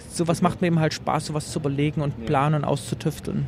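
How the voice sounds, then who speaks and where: Fairly quick speech from a man with a fairly high pitch, ordinary pitch variation, and noticeable noise behind him. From eastern Germany, Leipzig. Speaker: journalist and retro game exhibitor. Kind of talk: interview. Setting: trade fair.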